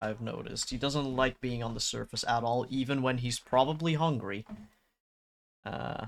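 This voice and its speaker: With a Dutch accent, a man speaks at medium pitch. His pace is moderate and his intonation fairly even. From Netherlands. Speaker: streamer, digital artist. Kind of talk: casual live-stream chat. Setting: home room, door closed.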